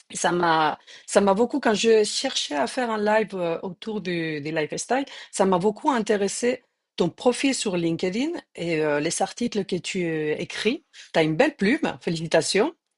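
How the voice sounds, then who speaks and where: With a medium pitch and lively intonation, a woman speaks at a fairly slow pace. The sound is dry and close with no echo, against a quiet background. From Spain. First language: Spanish (speaking French). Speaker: journalist, live interview host. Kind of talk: live interview.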